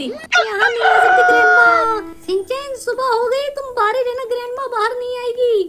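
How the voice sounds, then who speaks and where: An extremely high put-on character voice comes through over light background noise. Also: moderate pace. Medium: machinima. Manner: anxious, urgent.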